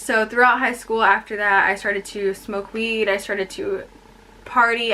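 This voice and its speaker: A woman speaks at a moderate pace with a medium pitch and fairly even intonation. Noticeable background noise sits behind her. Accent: Californian. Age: 20s. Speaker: vlogger. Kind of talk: personal testimony vlog. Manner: casual, with fillers.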